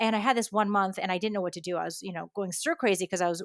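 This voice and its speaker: In a US Northeastern accent, a woman speaks at a medium pitch with fairly even intonation, the sound dry and close with no echo on a very clean recording against a silent background. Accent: US Northeast. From US Northeast, New York and Connecticut. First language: Japanese. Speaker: education expert and author. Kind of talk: podcast interview.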